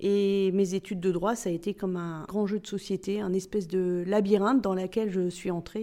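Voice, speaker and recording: This woman's medium-pitched voice has a dark, mellow tone and moves at a moderate pace. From Spain, Barcelona, then France and South America. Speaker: corporate tax director. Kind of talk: interview.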